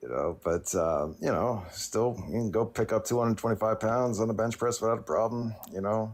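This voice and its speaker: With hardly any pauses, a man uses an ordinary speaking voice at a medium pitch, a moderate pace and ordinary pitch variation. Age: 30s. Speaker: caller on a vegan livestream. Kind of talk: casual chat. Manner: filler-heavy, rambling delivery.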